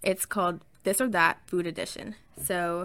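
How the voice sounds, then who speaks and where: In a very clean recording with a silent background, a woman speaks at a medium pitch with a bright, sharp tone and a slight Southern US accent. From US South. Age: 20s. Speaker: podcaster. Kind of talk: casual chat, solo podcast. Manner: animated, excited.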